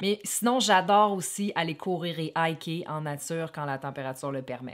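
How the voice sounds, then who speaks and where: A woman speaks with a Quebec accent. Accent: Québécois French. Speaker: wellness vlogger, former fitness trainer. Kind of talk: casual talk to camera.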